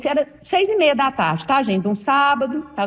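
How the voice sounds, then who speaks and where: Noticeable background noise sits behind a woman speaking at a moderate pace with lively intonation. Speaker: podcast host. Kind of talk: casual podcast conversation.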